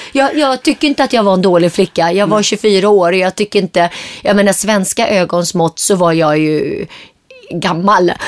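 A woman at a medium pitch and moderate pace, with lively intonation, very even loudness, a dry, close sound with no echo, and noticeable background noise. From Sweden, Gothenburg; Syriac family from Turkey. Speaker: entrepreneur. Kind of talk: interview.

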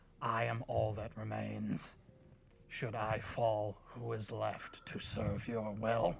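Over music in the background, a man puts on a raspy character voice, fairly low in pitch and very slow in pace. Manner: timid, quipping.

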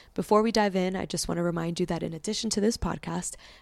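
With an ordinary speaking voice, a woman talks fairly quickly at a fairly low pitch on a very clean recording with a silent background. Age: 30s. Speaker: podcast host. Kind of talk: casual interview chat. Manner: warm, upbeat.

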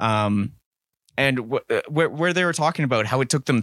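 The recording is very clean, with a silent background and a dry, close sound with no echo. A man speaks at a moderate pace in a plain, everyday voice. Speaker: podcast host and band member. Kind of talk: casual chat.

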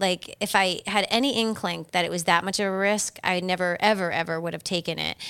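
An American accent colors this woman's unremarkable speaking voice, medium in pitch with ordinary pitch variation. She talks at a moderate pace, and the recording is very clean with a silent background. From Massachusetts. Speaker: solo travel expert and podcast host. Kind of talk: casual interview.

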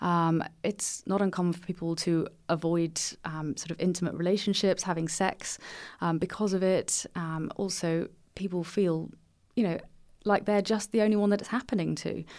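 A woman's fairly low voice, fairly even in intonation and moderate in pace, on a very clean recording with a silent background. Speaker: gynecologist. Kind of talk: interview. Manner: calm.

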